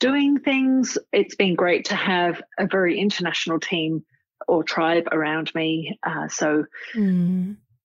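At a very slow pace, a woman is talking. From England, Cambridge. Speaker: doctor. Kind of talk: interview.

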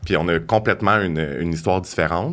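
The man's pitch is very deep and low. He speaks at a moderate pace. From Quebec, South Shore of Montreal. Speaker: hairstylist. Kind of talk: casual interview.

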